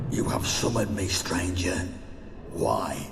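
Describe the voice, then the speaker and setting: A man's put-on character voice, very deep and low, at a fairly slow pace with clear echo and loud background noise. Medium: machinima. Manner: cold, formal, archaic.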